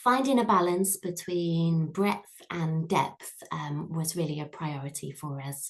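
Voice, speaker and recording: A somewhat breathy woman's voice. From Yorkshire, northern England. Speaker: head of primary English, education trainer. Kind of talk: webinar presentation. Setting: online webinar.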